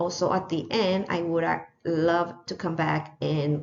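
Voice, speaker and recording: A woman with a non-native accent speaks in a very deep, low pitch with fairly even intonation. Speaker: teacher. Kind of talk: lesson plan presentation. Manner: hesitant, many fillers.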